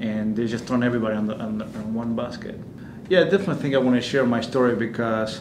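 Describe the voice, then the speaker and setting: A man with an Argentine accent speaks at a medium pitch. Audible room echo and noticeable background noise are present. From Argentina. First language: Spanish. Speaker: immigrant interviewee. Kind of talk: personal testimony interview. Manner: halting, many fillers and restarts.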